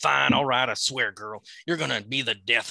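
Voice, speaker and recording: A man speaks in a put-on character voice with a Southern US accent, at medium pitch and a moderate pace, his loudness swinging widely, recorded dry and close with no echo. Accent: Southern drawl, imitating a film character. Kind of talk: comic dramatic reading. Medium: read story. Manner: drawling, folksy, gruff.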